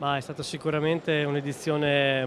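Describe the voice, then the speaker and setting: A man at a moderate pace with monotone, flat intonation, dry sound with no echo and noticeable background noise. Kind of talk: interview answer. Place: hall. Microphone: handheld.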